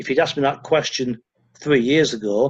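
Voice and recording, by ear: A man talks at a moderate pace with ordinary pitch variation. His voice carries a slightly husky edge.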